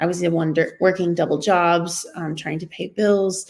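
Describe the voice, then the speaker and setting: Monotone, flat intonation marks this woman's speech. She has a fairly low pitch and an American accent. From Texas. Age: 30s. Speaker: tutoring business owner and former teacher. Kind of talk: personal testimony. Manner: hesitant, many fillers.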